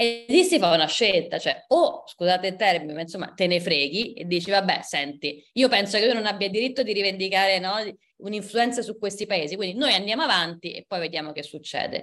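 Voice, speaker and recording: Her normal speaking voice sits at a medium pitch, and the woman talks at a fairly quick pace with lively intonation. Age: 30s. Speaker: historian and book author. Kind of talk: book presentation talk.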